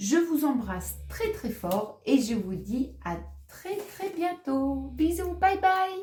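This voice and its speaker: A woman with a high-pitched, dark, mellow voice speaks very slowly with very wide pitch swings. Room echo is audible. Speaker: tarot reader. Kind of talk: tarot reading monologue. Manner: halting, many hesitations.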